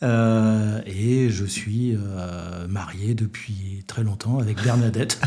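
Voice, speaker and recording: A man talks very slowly with hardly any pauses. His pitch sits fairly low. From northern France (Douai, Nord). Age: 60s. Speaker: business executive, former refrigeration technician. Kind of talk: interview.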